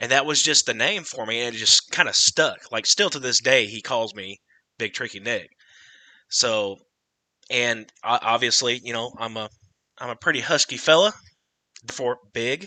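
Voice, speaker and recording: In a quiet background, a man speaks with a bright, sharp tone, ordinary pitch variation, big swings in loudness and long, frequent pauses, the sound dry and close with no echo. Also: medium pitch for a man, moderate pace. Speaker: TikTok creator and podcast host. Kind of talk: casual chat. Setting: livestream.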